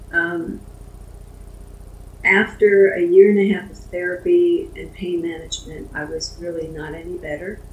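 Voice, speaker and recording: With audible room echo and noticeable background noise around her, a woman speaks at a moderate pace, her loudness swinging widely between long, frequent pauses. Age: 70s. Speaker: Parkinson's patient advocate. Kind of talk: personal testimony in a support group interview.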